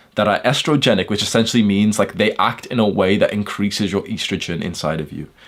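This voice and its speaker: A man with a British accent speaks in a fairly low voice, his tone animated and his pitch varying in an ordinary way. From UK. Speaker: self-improvement YouTuber. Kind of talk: casual lecture.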